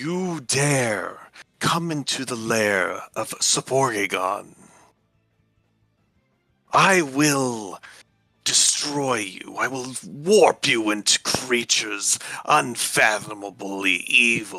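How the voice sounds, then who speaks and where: Over faint background music, a man uses a put-on character voice at medium pitch and a very slow pace. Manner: calm, menacing.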